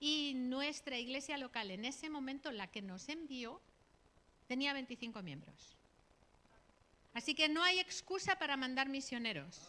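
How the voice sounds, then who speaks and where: A woman with a Catalan accent speaks in a raised, projected voice, her tone bright and sharp, her pitch high, her intonation lively, her loudness swinging widely, and her fairly slow pace broken by long, frequent pauses. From Catalonia, Spain (Barcelona area). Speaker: missionary. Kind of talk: sermon / missionary talk. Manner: conversational, frequent tag questions.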